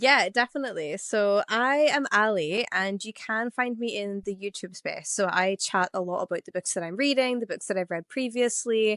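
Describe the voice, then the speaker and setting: In an Irish accent, a woman with a fairly high pitch and lively intonation talks at a moderate pace, the sound dry and close with no echo over a quiet background. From Ireland. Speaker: podcast co-host. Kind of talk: casual chat. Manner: talkative.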